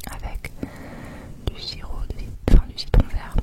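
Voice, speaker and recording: Noticeable background noise accompanies a woman whispering at a fairly slow pace. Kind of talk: ASMR travel vlog narration. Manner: whispered, soft.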